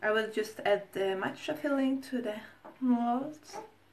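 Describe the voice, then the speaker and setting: A woman with a non-native accent, fairly slow and with ordinary pitch variation, over noticeable background noise. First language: not English. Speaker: food vlogger. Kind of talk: tutorial. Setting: home kitchen. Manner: halting.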